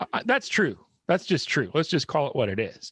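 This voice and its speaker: The recording has a quiet background and a dry, close sound with no echo. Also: man. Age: middle-aged. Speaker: podcast host. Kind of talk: casual interview.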